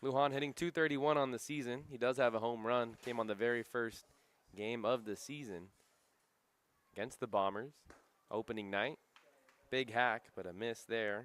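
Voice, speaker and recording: At a moderate pace, a man speaks at medium pitch with ordinary pitch variation and long, frequent pauses. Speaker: sports broadcaster. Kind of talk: baseball play-by-play commentary.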